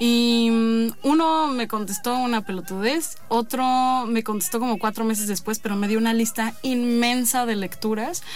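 Audible room echo surrounds a woman speaking at a fairly high pitch and a fairly slow pace, with hardly any pauses. Her pitch varies in an ordinary way, and her loudness stays very even. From Mexico City. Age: 20s. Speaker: poet. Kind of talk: interview.

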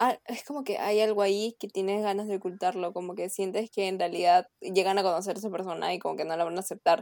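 Very fast delivery with hardly any pauses, fairly even intonation and a dry, close sound with no echo. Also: woman, medium pitch for a woman. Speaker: university student. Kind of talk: casual chat.

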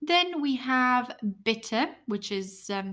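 A woman with an Italian accent speaks at a very slow pace in a somewhat breathy voice. The recording is very clean, with a silent background. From Italy. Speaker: English teacher podcaster. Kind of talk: language lesson.

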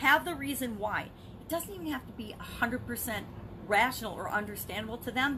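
Over noticeable background noise, a woman speaks at a high pitch with ordinary pitch variation and big swings in loudness. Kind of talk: motivational monologue. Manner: fast.

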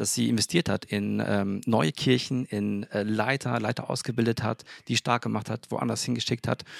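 This is an unremarkable speaking voice with ordinary pitch variation. It moves at a moderate pace in a dry, close sound with no echo. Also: man, fairly low pitch for a man. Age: 30s. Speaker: engineer and church co-founder. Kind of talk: casual chat. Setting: balcony of apartment.

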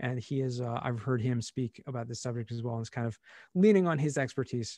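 Recorded with a dry, close sound with no echo and a quiet background, a man with a normal speaking voice and an American accent talks at a fairly quick pace, at medium pitch with ordinary pitch variation. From US, Southern California. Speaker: cost segregation specialist. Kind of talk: interview.

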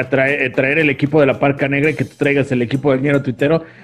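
Over music in the background, a man talks with a fairly high pitch. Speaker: podcast co-host. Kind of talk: casual chat. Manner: animated.

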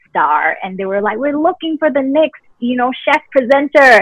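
A woman at a moderate pace with very wide pitch swings, in a dry, close sound with no echo. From Singapore. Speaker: nutritionist and presenter. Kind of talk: casual interview chat.

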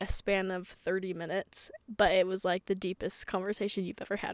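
A dry, close sound with no echo, in an American accent at a moderate pace. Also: woman. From Utah. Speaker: podcast host, college student. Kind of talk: casual monologue. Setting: in a parked car on a parking garage.

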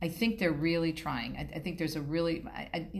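Audible room echo fills the space. Within it, a woman talks. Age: 50s. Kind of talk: interview.

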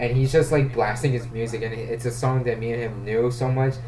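Speaking fairly quickly in a flat monotone, a man at medium pitch is heard with audible room echo and noticeable background noise. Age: 20s. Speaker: podcast host. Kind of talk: casual film discussion.

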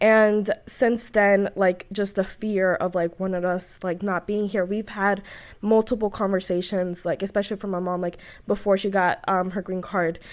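A woman's monotone, flat delivery on a very clean recording with a silent background. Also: medium pitch for a woman, moderate pace. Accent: American. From US South (Atlanta and New Orleans). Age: 20s. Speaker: public service fellow, immigrant advocate. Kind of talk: interview. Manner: frequent fillers, hesitant.

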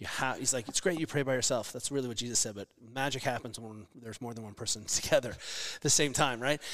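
On a very clean recording with a silent background, a man at a medium pitch speaks at a fairly quick pace. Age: 40s. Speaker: physical therapist and fitness coach. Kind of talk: casual chat. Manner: animated.

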